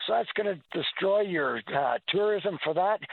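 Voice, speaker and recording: This man's voice is high-pitched. He talks at a moderate pace. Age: 60s. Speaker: caller. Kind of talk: phone-in call. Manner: hesitant, many uh fillers; animated, indignant.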